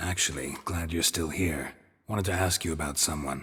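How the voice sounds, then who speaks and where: Using a put-on character voice, a man growls in a raspy, very deep, low pitch at a moderate pace. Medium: video game. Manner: laconic, dry, deadpan.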